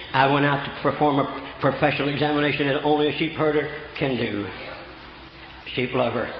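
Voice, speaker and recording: A man's fairly high voice at a fairly quick pace, broken by long, frequent pauses, amid noticeable background noise. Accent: American. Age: 70s. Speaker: preacher. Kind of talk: sermon. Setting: church. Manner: animated.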